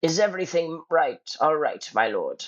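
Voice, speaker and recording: This put-on character voice sits at a middle pitch and moves at a moderate pace. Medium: read story. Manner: deferential, courteous.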